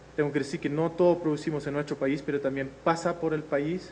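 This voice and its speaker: A man talks at a fairly quick pace with a fairly high pitch. His intonation is flat and monotone. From Netherlands. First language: Dutch (speaking Spanish). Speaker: agricultural innovation researcher. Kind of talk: lecture. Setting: video conference. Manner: hesitant, frequent fillers.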